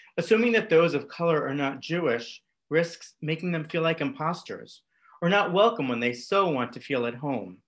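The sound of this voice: A man talks at a moderate pace with a fairly high pitch, a fairly bright tone and lively intonation.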